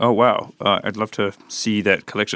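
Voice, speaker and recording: Bright and sharp, the voice carries a New Zealand accent. The sound is dry and close with no echo, on a very clean recording with a silent background. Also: man. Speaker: podcast host, artist. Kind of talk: casual interview. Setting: studio.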